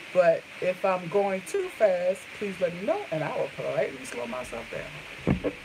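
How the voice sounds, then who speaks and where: A woman talks at a fairly slow pace with hardly any pauses. Background noise is noticeable. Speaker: beauty vlogger. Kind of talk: live makeup tutorial. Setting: livestream. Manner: casual.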